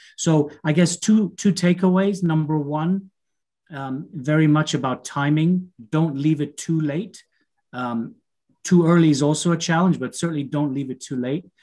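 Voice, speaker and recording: A man speaks at a moderate pace in a fairly high pitch with ordinary variation. His tone is dark and mellow, and the background is quiet. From Canada. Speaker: business consultant; webinar presenter. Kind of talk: webinar presentation. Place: home room. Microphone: video call.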